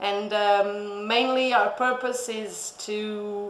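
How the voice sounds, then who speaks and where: A woman talks amid noticeable background noise, with audible echo from the room. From Portugal, Lisbon. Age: 30s. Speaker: vet. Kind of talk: interview. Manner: halting, many fillers.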